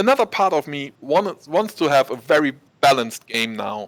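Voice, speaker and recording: A man's fairly high voice with a German accent, dry and close with no echo. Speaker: esports caster. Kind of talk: live commentary. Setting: studio, casting from the background. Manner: animated.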